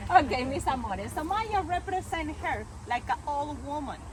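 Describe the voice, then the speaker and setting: Speaking at a moderate pace with a Mexican accent, a woman's high-pitched voice comes through over noticeable background noise. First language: Spanish. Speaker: tour guide. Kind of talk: guided tour talk.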